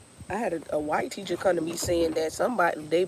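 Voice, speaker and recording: Noticeable background noise sits behind a woman with a fairly low pitch who speaks in an animated tone at a moderate pace with ordinary pitch variation. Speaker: music teacher and vlogger. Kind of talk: casual vlog chat. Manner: loud.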